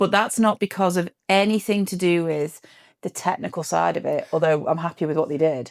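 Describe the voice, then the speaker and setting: The speaker talks at a fairly quick pace. There is an English accent. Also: woman, very clean recording, silent background. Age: 40s. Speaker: podcast co-host. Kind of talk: casual chat.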